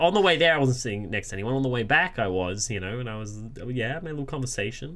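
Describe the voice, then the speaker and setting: A man with an American accent speaks at a very fast pace. His pitch swings very widely, and the room echo is audible. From Australia. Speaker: podcast co-host. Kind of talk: casual chat.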